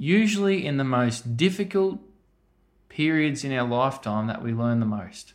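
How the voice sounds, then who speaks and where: Lively intonation and a fairly high pitch mark this man's rural Australian accent as he speaks at a fairly slow pace. The recording is very clean, with a silent background. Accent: broad rural Australian. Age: 30s. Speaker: farmer. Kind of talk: interview. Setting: on a farm.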